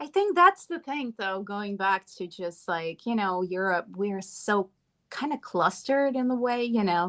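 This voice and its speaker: Speaking with a Latvian accent, a woman talks at a moderate pace and medium pitch with ordinary pitch variation against a quiet background. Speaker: podcast host. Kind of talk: casual chat.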